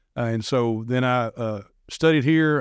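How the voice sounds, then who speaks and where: In a dry, close sound with no echo and a quiet background, a man with an unremarkable speaking voice talks in an American accent at medium pitch, his intonation fairly even. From US South, Nashville area, Tennessee. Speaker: minister. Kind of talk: casual chat.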